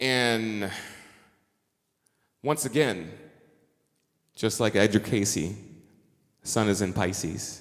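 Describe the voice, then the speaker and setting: Long, frequent pauses break up a man's very slow speech. His pitch is fairly low, with ordinary variation and very even loudness. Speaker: astrologer and musician. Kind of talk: conference talk.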